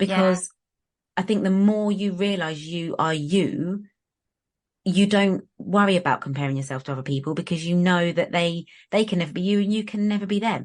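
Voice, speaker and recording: A woman at medium pitch, with ordinary pitch variation and a moderate pace. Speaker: nail technician and brand owner. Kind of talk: podcast interview. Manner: animated.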